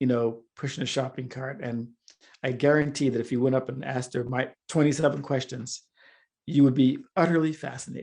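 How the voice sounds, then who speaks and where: Speaking at a fairly quick pace, a man has a plain, everyday voice at medium pitch with ordinary pitch variation. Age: 60s. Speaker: filmmaker and multimedia artist. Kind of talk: interview conversation.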